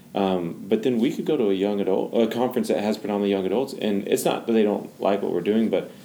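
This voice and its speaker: This man has a normal speaking voice, pitched fairly low. He talks at a fairly quick pace with ordinary pitch variation. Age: 20s. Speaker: founder of a young adult ministry. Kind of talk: casual chat.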